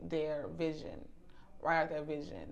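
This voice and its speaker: A woman speaks with audible room echo. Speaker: leadership coach. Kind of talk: interview. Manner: loud.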